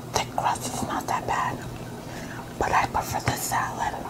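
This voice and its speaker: Whispering, a woman keeps her voice soft-spoken. She goes at a fairly slow pace. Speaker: mukbang vlogger. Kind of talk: casual vlog chat. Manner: soft ASMR whisper while eating. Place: home room.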